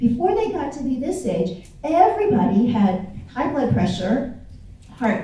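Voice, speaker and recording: In an American accent, a woman with a fairly high pitch speaks at a fairly slow pace in an animated tone with very wide pitch swings, recorded with audible room echo and noticeable background noise. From US Midwest, Kansas City. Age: 60s. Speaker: inspirational speaker and author. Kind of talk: speech to a festival audience. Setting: stage with audience.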